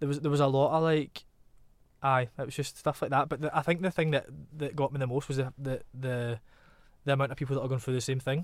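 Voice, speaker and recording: Very fast and flat, a man with a fairly high voice talks in a Glaswegian accent. The recording is very clean, the background silent. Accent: Glaswegian Scottish. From Glasgow, Scotland. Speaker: singer-songwriter. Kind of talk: casual interview chat. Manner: casual, laughs a lot.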